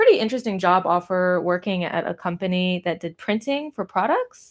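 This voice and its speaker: Speaking at a moderate pace with a Californian accent and a medium pitch, a woman is heard on a very clean recording with a silent background. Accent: Californian American. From US West Coast, Pasadena near Los Angeles. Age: 30s. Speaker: artist. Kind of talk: casual live stream chat while painting. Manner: rambling, hesitant with fillers.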